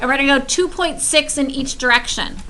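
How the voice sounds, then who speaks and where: In a room with audible echo, a woman uses a raised, projected voice, high in pitch with ordinary pitch variation. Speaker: high school math teacher. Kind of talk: classroom lecture.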